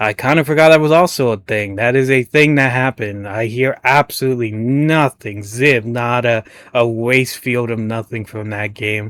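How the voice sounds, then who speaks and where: A man with a normal speaking voice, medium pitch, ordinary pitch variation and a moderate pace, on a very clean recording with a silent background and a dry, close sound with no echo. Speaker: gaming commentator. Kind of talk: reaction commentary. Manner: casual, stumbling over words.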